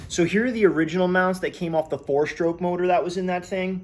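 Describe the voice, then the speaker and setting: A man speaks at a fairly quick pace in a high voice. Light background noise sits behind him. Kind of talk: tutorial. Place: garage. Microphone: phone near.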